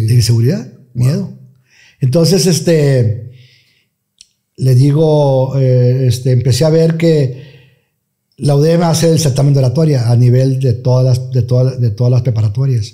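Against a quiet background, a man with a dark, mellow tone sounds somewhat breathy, speaking at a fairly slow pace with long, frequent pauses, very even loudness and ordinary pitch variation. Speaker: radio announcer. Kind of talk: interview answer. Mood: relaxed, reminiscing. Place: studio. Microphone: studio mic.

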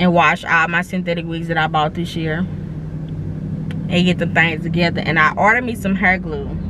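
Talking at a fairly quick pace, a woman is heard with a dry sound with no echo over loud background noise. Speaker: vlogger. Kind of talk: casual vlog chat. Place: car. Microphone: phone near.

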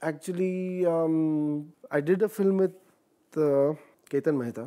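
A man's high, dark and mellow voice with a slight Marathi accent, over a quiet background. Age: 40s. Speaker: actor. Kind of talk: interview. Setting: studio. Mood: relaxed, reminiscing. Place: studio.

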